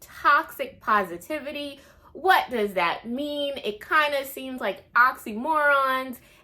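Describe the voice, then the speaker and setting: Her voice raised and projected, a woman with a high pitch and a bright, sharp tone speaks at a very slow pace, with lively intonation and big swings in loudness. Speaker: book reviewer. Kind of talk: casual talk to camera.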